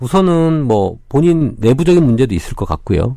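A man's dark, mellow tone with very wide pitch swings, on a very clean recording with a silent background. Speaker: Korean medicine doctor. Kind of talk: medical advice chat.

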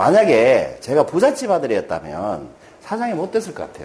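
Noticeable background noise runs under a man whose pitch jumps very widely. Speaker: motivational speaker, former businessman. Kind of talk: lecture. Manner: conversational, asks rhetorical questions.

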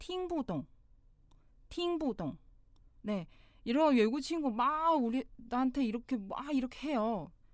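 At a very slow pace, a woman speaks in a high pitch. Her voice moves through very wide pitch swings. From China. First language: Mandarin Chinese (speaking Korean). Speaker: language teacher. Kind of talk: tutorial.

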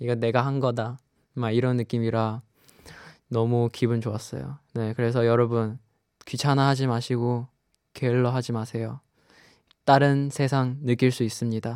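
Monotone, flat intonation at a fairly quick pace, broken by long, frequent pauses, in a very clean recording with a silent background. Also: man, medium pitch for a man. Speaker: radio host. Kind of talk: radio show, casual chat.

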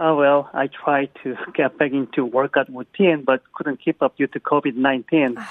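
A man with a Korean accent speaks at a fairly high pitch and a moderate pace. His intonation is fairly even, with hardly any pauses. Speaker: caller. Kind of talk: casual phone chat. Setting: phone call. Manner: halting.

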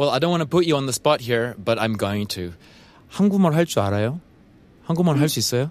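Talking with a Japanese accent at a fairly quick pace, a man with a medium-pitched voice makes very wide pitch swings and takes long, frequent pauses. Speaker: radio host. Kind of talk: interview. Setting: studio.

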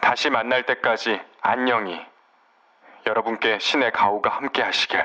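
A man speaks with ordinary pitch variation. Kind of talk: audiobook reading aloud of a literary nonfiction book. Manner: formal, measured narration with solemn, wistful tone; steady, clear and unhurried delivery.

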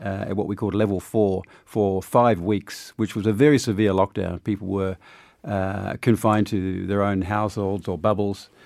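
A fairly low-pitched man at a moderate pace with fairly even intonation, in a very clean recording with a silent background. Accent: New Zealand. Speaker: diplomat. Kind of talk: interview. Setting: studio.

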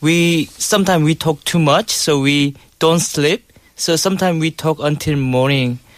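A man speaks at a moderate pace with a Korean accent. His intonation stays fairly even. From South Korea. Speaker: guest, husband in intercultural marriage. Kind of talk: casual studio chat. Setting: studio.

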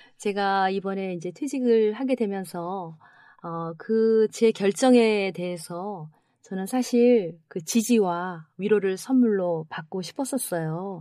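Very slow and dark, mellow in tone, a woman's medium-pitched voice shows ordinary pitch variation and big swings in loudness in a very clean recording with a silent background. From South Korea, Paju. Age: 50s. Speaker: retiring schoolteacher. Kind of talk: casual chat.

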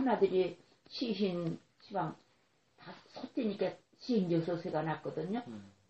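A somewhat breathy woman's voice, fairly low in pitch. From South Korea, Socheong Island (Yellow Sea). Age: 80s+. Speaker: elderly islander interviewee. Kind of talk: oral history interview. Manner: halting.

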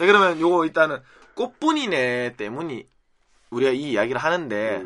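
A man with a Busan accent, bright, sharp tone and fairly quick pace. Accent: Busan (Gyeongsang) dialect Korean. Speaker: podcast host. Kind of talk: casual chat.

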